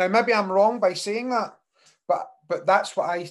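Someone speaks with a Scottish accent at a moderate pace against a quiet background. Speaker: podcast host. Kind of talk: casual chat.

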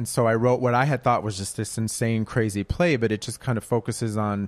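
A man with an American accent and an ordinary speaking voice talks at a medium pitch with fairly even intonation. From Minneapolis, US Midwest. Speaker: playwright. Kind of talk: live panel discussion. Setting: live event with audience.

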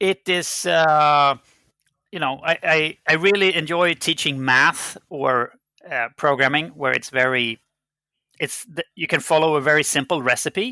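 Speaking with a Swedish accent, a man uses a fairly high pitch, a bright, sharp tone and ordinary pitch variation, going fairly slowly with long, frequent pauses in a very clean recording with a silent background. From Sweden. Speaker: game company CEO. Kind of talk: interview. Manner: hesitant with fillers.

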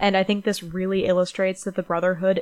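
The speaker is reading aloud in a natural voice.

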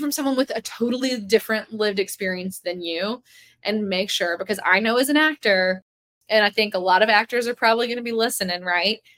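A woman with an ordinary speaking voice speaks fairly high with an American accent and ordinary pitch variation. The sound is dry and close with no echo. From US South. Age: 20s. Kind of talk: casual interview.

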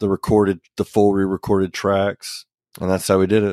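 A man with an American accent speaks at a fairly low pitch. The recording is very clean and dry, with a close sound, no echo and a silent background. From US South, Oklahoma (Ponca City). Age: 30s. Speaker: rock band vocalist. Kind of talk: casual interview chat. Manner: laid-back, laughs often.

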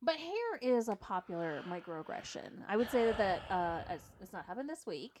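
A woman with a medium-pitched voice speaks in an animated tone at a moderate pace. Her pitch swings very widely and her loudness rises and falls sharply. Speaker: podcast co-host. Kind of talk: casual chat. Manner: animated, joking.

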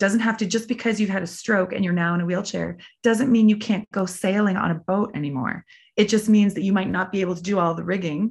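A somewhat breathy voice with a Canadian accent, fairly even intonation and a very fast pace over a quiet background. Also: woman, medium pitch for a woman. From Prince Edward Island, Canada. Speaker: athlete and occupational therapist. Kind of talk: interview.

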